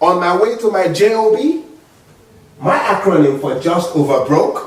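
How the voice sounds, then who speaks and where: With a strong African accent and very wide pitch swings, a man speaks amid noticeable background noise and audible room echo. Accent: heavy African. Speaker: motivational speaker. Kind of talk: speech. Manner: animated.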